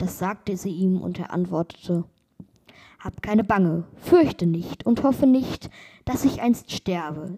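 A woman with a dark, mellow tone and a calm tone speaks somewhat breathily at a fairly slow pace, with ordinary pitch variation and big swings in loudness. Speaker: podcast host reading fairy tales. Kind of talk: bedtime story reading aloud of a fairy tale. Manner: calm, slow, storytelling cadence.

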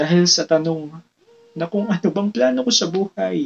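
A plain, everyday voice with lively intonation at a moderate pace, in a dry, close sound with no echo. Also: man. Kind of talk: spoken word poetry performance. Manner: reflective, earnest, rhythmic delivery; rhyme-driven, rising emotion, pauses for effect.

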